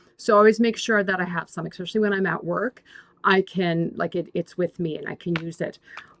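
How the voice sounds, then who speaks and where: A woman with a medium-pitched voice talks at a fairly quick pace in a dry, close recording with no echo. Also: big swings in loudness. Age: 60s. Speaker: YouTuber. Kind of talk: casual tutorial. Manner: halting.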